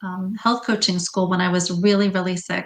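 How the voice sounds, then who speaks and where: The woman has an unremarkable speaking voice, medium in pitch, with fairly even intonation. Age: 60s. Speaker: health coach. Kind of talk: interview.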